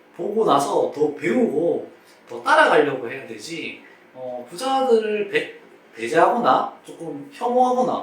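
A man talks at a fairly slow pace in a high voice, with very wide pitch swings and big swings in loudness. Noticeable background noise runs underneath. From Daegu, South Korea. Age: 20s. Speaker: PE teacher. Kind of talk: interview answer. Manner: cheerful.

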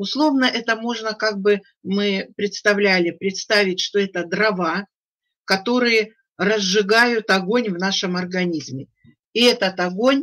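Fairly slow delivery over a quiet background. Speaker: webinar speaker. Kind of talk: webinar presentation. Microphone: video call.

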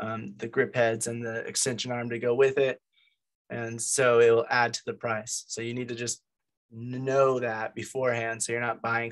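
The man talks at a moderate pace. His intonation is monotone and flat. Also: quiet background. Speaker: meeting host presenting gear. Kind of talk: informal lecture. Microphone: video call.

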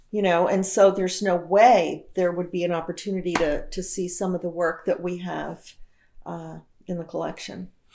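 The voice has a dark, mellow tone with vocal fry and flat, monotone intonation at a fairly quick pace. Noticeable background noise runs underneath. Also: woman, fairly low pitch for a woman. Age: 60s. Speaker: film festival director and retired professor. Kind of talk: casual chat. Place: home room.

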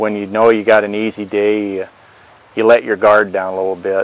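The man's fairly low voice stays monotone and flat at a moderate pace, recorded dry with no echo. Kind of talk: interview answer. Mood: relaxed, matter-of-fact. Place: open country. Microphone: lapel.

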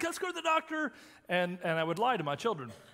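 A man is talking. His voice is raised and projected. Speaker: senior minister. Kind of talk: sermon. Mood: humorous storytelling. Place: church.

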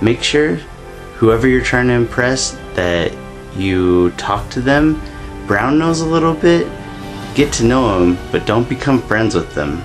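Clear music plays behind a man talking at a fairly slow pace. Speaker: vlogger. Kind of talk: casual vlog chat, mock advice. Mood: playful, sly. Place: home room. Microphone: phone near.

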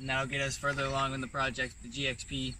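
A man talks at a fast pace and medium pitch, with a bright, sharp tone. His intonation is monotone and flat, and there is audible room echo.

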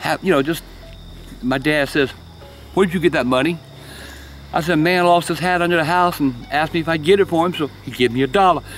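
A man speaks with a Southern US accent. Music plays in the background, and the sound is dry with no echo. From South Carolina. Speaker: storyteller. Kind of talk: storytelling. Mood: calm, hushed, eerie telling. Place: garden. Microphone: phone near.

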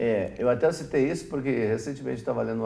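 This man has a dark, mellow tone with vocal fry and a fairly low pitch. He talks at a very fast pace with ordinary pitch variation. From Brazil, Vale do Taquari, Rio Grande do Sul; Rio Grande do Sul, Brazil. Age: 50s. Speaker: TV host, business professor. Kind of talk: TV interview. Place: studio.

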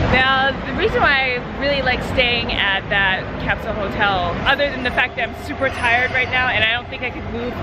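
A woman talks at a moderate pace over crowd noise in the background, the sound dry with no echo. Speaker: travel vlogger. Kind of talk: casual vlog chat. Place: street. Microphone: phone near.

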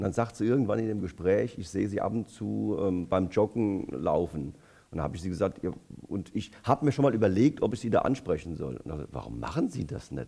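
Speaking at a very fast pace, a man with a fairly low pitch and a dark, mellow tone swings very widely in pitch and shows vocal fry. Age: 60s. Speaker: politician; election candidate. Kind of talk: election debate. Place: hall. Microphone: headset.

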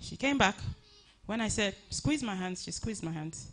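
The pace is moderate. The speaker is a woman. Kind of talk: eulogy tribute speech. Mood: emotional, earnest, grateful. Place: hall. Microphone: handheld.

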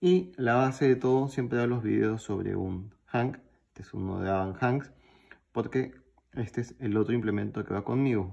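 In a plain, everyday voice, the speaker talks at a moderate pace with ordinary pitch variation and big swings in loudness. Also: man, medium pitch for a man. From Peru. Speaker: YouTuber, pocket knife collector. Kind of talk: show-and-tell video.

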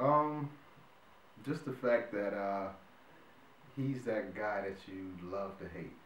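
Very slowly, a man with an American accent talks at a fairly low pitch with ordinary variation, his loudness swinging widely. Audible room echo and light background noise surround him. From North Carolina, Wilmington. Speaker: actor. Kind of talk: casual interview. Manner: hesitant, many fillers. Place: home room.

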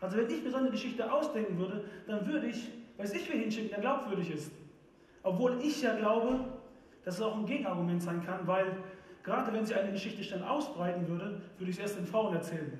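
Talking at a very fast pace, a man uses a high voice. Audible room echo is present. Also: ordinary pitch variation. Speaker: preacher. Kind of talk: church sermon. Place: stage.

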